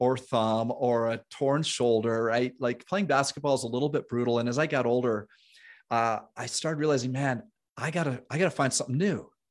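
A man with a normal speaking voice, a medium pitch and ordinary pitch variation, at a fairly quick pace. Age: 50s. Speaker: fitness nutrition coach and health show host. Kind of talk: interview conversation.

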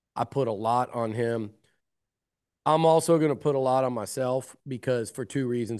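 The voice has a dark, mellow tone and an American accent. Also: man. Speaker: college sports journalist. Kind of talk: casual sports interview.

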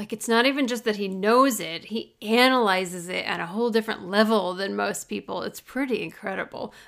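A woman speaks fairly quickly with a Midwestern American accent. Her pitch is fairly high, with ordinary variation. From US Midwest. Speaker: podcast co-host. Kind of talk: casual chat.

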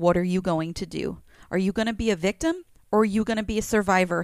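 On a very clean recording with a silent background, a woman speaks at a medium pitch and a moderate pace. She has a plain, everyday voice with fairly even intonation. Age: 30s. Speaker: podcast co-host's wife. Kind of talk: casual chat.

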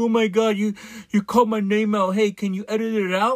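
A man does a put-on character voice, whiny in tone and high-pitched, at a fairly quick pace. His whiny intonation stays monotone and flat. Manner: whiny, mocking crying.

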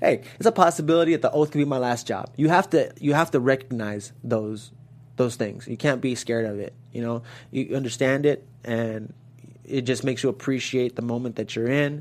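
At a fairly quick pace, a man speaks at a medium pitch with ordinary pitch variation. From Los Angeles, US. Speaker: actor. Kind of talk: interview. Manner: halting, many fillers and repeats.

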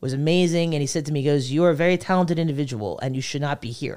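Over a silent background in a very clean recording, a woman talks at a very fast pace with an American accent and ordinary pitch variation. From northern New Jersey. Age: 40s. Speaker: comedian. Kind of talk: casual chat.

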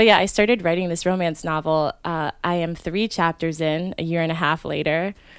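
In a normal speaking voice, a woman with an American accent talks at a fairly quick pace with fairly low pitch, fairly even intonation, and hardly any pauses. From Maryland. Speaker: actress and improv performer. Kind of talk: casual chat.

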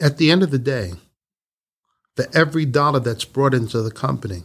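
The intonation of this man is lively. His pitch is medium. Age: 50s. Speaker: business owner. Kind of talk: interview. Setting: on location at company facility. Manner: animated.

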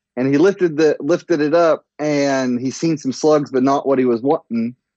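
With ordinary pitch variation, the speech unfolds at a fairly slow pace. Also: man. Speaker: friend calling in, father. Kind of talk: casual chat. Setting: phone call. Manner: loud.

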